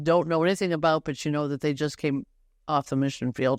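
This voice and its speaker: Speaking at a fairly quick pace with an American accent, a woman with a very deep, low pitch shows ordinary pitch variation in a dry, close sound with no echo and a quiet background. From Detroit, Michigan. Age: 70s. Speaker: retired missionary. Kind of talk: podcast interview.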